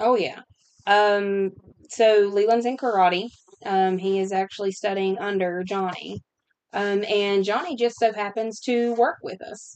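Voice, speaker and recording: This is a normal speaking voice, a woman's at medium pitch. She talks at a fairly slow pace with fairly even intonation. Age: 30s. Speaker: podcast host. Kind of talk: casual chat.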